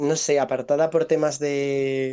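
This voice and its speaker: A man talks at a fairly high pitch. His intonation is monotone and flat, and his pace fairly slow. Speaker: friend of host. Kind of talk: casual chat.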